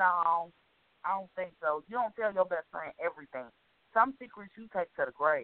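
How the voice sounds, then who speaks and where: Speaking at a moderate pace, a woman with a normal speaking voice and a medium pitch uses lively intonation, with big swings in loudness. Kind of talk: casual chat. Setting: phone call.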